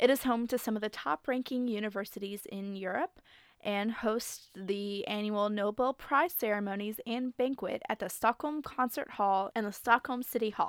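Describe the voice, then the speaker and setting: At a moderate pace with hardly any pauses, a woman with a fairly high pitch and ordinary pitch variation speaks in a normal speaking voice, in a very clean recording with a silent background and a dry, close sound with no echo. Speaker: podcast co-host. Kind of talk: casual chat, reading aloud.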